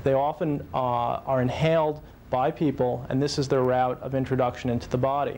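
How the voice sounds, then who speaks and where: Over noticeable background noise, a man speaks at a moderate pace with a medium pitch and ordinary pitch variation. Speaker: physician. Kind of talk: interview answer.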